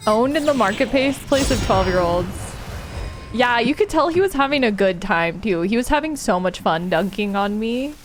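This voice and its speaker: A woman speaks at fairly high pitch with an animated tone. Her intonation is lively. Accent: American. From California. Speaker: streamer. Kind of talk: casual chat.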